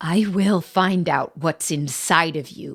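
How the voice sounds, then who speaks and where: At a fairly slow pace, a growling put-on character voice holds a middle pitch. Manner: menacing, effortful.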